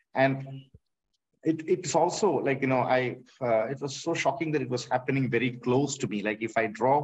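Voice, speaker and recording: With a Tamil accent, a man of medium pitch speaks at a moderate pace, slightly breathy, with ordinary pitch variation. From Kerala, India. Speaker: artist. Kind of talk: panel discussion. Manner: halting, many fillers.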